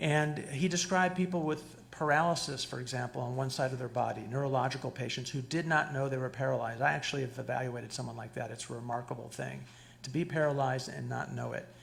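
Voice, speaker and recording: Speaking at a very fast pace, a man uses a medium pitch with ordinary pitch variation. Audible room echo surrounds his voice. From Cuba. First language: Spanish. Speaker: psychologist lecturer. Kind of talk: lecture. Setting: stage with audience. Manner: animated, interactive. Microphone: too far from the mic at first.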